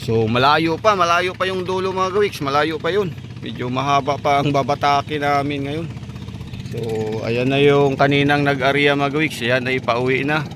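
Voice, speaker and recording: A man speaks at a moderate pace, his pitch varying in an ordinary way, with noticeable background noise behind him. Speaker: vlogger. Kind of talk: casual vlog narration. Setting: outdoors by a river.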